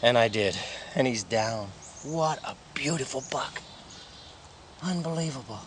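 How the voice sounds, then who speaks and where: Noticeable background noise sits behind a man talking at a fairly slow pace with long, frequent pauses. His medium pitch has lively intonation. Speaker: hunting show host. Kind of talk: live field commentary. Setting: outdoors, in a tree stand.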